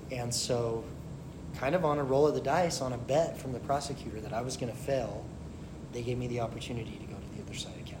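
Over noticeable background noise, a man with an American accent speaks with fairly even intonation and big swings in loudness. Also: medium pitch for a man. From Utah. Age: 40s. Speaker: former prisoner sharing recovery story. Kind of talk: interview testimony.

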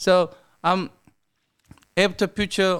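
A man with a Korean accent on a very clean recording with a silent background. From South Korea. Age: 50s. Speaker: sushi restaurant owner. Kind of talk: casual interview. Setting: studio.

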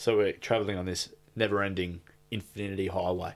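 A man speaks with an Australian accent at a moderate pace. His pitch is fairly low. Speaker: podcast co-host. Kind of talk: casual chat.

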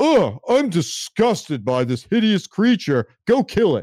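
A man's put-on character voice, high-pitched and fairly slow, with very wide pitch swings. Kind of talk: commanding. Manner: disgusted, haughty.

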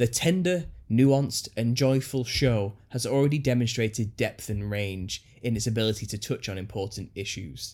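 A man with a normal speaking voice talks at a moderate pace in a medium pitch with ordinary pitch variation, on a very clean recording with a silent background. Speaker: podcast host and conspiracy YouTuber. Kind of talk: casual chat. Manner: jokey, self-deprecating.

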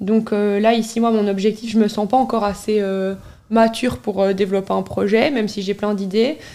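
A woman's fairly high-pitched voice, dark and mellow in tone, with fairly even intonation at a moderate pace. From Belgium, Charleroi. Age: 20s. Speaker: city blogger and influencer. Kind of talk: casual interview.

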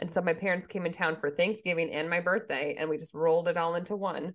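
With an American accent, a woman speaks at a fairly quick pace and a fairly low pitch. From Minnesota. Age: 40s. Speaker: podcast co-host. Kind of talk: casual chat.

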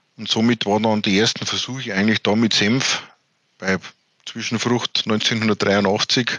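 A man speaks fairly slowly in a fairly low, monotone voice with flat intonation. The sound is dry and close, with no echo. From Bavaria, Germany. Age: 30s. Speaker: farmer and water advisor. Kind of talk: interview.

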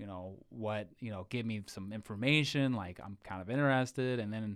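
On a very clean recording with a silent background, a man with an American accent and a plain, everyday voice speaks at a moderate pace, fairly low in pitch, with ordinary pitch variation and hardly any pauses. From Ohio. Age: 20s. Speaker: military veteran. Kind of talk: casual chat.

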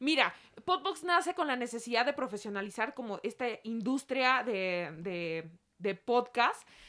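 With a bright, sharp tone and a high pitch, a woman speaks at a fairly slow pace, her pitch swinging very widely. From Mexico City. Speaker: sports reporter. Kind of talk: casual chat. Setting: studio.

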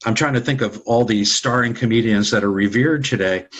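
The man has an American accent and a medium pitch. He speaks at a moderate pace. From New York (Brooklyn, Long Island). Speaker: actor and author. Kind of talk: interview.

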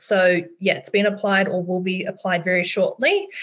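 A woman at medium pitch with an Australian accent. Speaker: finance co-host, mortgage broker. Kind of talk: casual podcast conversation.

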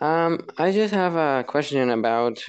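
Very slow speech in a Spanish accent, with ordinary pitch variation. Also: man. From Mexico. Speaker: caller. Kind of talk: casual chat. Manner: halting.

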